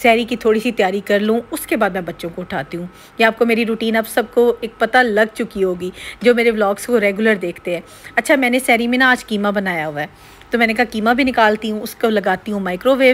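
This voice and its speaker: A woman keeps a moderate pace, her pitch varying in an ordinary way. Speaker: home vlogger. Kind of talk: casual vlog chat. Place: kitchen. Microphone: phone near.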